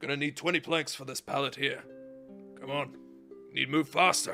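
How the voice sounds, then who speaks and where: Faint music plays in the background as a man puts on a raspy character voice at a fairly high pitch and a moderate pace. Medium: actual play. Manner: brusque, clipped.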